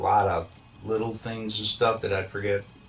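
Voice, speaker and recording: The speaker has an American accent. Background noise is noticeable throughout. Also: man. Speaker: deathbed confessor. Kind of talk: testimony. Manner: halting, many fillers.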